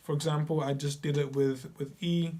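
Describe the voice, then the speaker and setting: This man's fairly high voice is somewhat breathy as he talks at a fairly slow pace. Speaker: piano teacher. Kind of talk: tutorial. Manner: casual with filler words.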